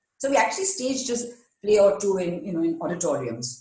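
Audible room echo surrounds this recording. A woman of medium pitch speaks at a moderate pace with lively intonation. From India, West Bengal (Durgapur). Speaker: HR executive. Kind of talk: interview.

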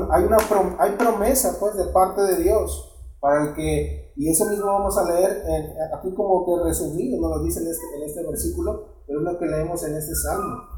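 Noticeable background noise under a man's moderately paced speech with hardly any pauses. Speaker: preacher. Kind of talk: sermon. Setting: church. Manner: halting, with frequent repetitions and filler words; didactic, pausing to check with 'verdad?'.

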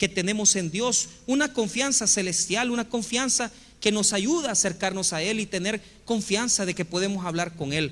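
A man talks at a moderate pace in a Salvadoran accent. His voice is high-pitched, with ordinary pitch variation. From El Salvador. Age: 40s. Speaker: pastor. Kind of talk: sermon.

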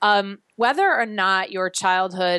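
Speaking with an American accent in an unremarkable speaking voice, a woman talks at medium pitch and a fairly slow pace with fairly even intonation, recorded with a dry, close sound, no echo and a quiet background. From US Midwest, Chicago. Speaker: fitness instructor. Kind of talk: casual chat; guided exercise instructions.

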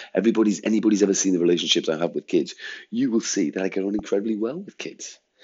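A man with a fairly low-pitched voice talks in an English accent. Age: 50s. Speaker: head teacher. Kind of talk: monologue rant. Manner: animated.

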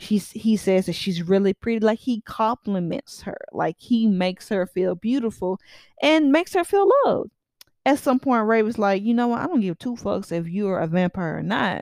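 A woman with a fairly high pitch speaks at a moderate pace in an animated tone with lively intonation, the sound dry and close with no echo. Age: 20s. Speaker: podcaster. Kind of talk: casual monologue.

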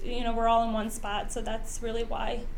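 A woman's fairly high voice, very fast and monotone, with audible room echo and noticeable background noise. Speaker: commercial loan officer. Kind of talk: interview chat.

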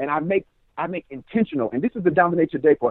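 With an American accent, a man speaks in an unremarkable speaking voice that is fairly high for a man, his intonation lively. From Richmond, California. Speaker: author and student success coach. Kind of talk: casual interview.

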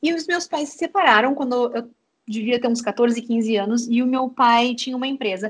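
Her high voice full of lively intonation, a woman talks at a moderate pace. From Rio Grande do Sul, Uruguaiana. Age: 30s. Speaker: startup co-founder and HR lead. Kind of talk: interview conversation. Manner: animated.

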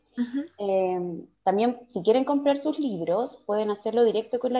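A woman's dark, mellow tone with lively intonation. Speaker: podcast host. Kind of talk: interview.

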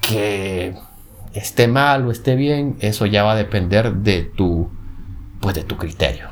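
Ordinary pitch variation from a man talking at a very slow pace. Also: fairly low pitch for a man. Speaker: podcast host. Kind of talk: casual monologue. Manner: animated; halting, frequent filler and repetitions.

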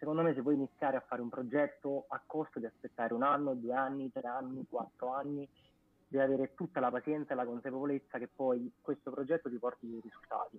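A man speaks with a medium pitch at a very fast pace. His intonation stays fairly even. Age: 20s. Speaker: music page co-founder. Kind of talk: casual interview on live stream.

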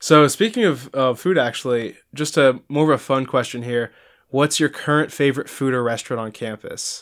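A man talks in a normal speaking voice at a medium pitch, with ordinary pitch variation. The recording is very clean, with a silent background. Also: moderate pace. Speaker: student podcast host. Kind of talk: casual chat.

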